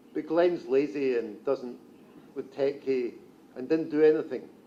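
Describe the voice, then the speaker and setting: A man's fairly high, dark, mellow voice at a very slow pace, with fairly even intonation and a strong Scottish accent. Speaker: journalist. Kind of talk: conference talk.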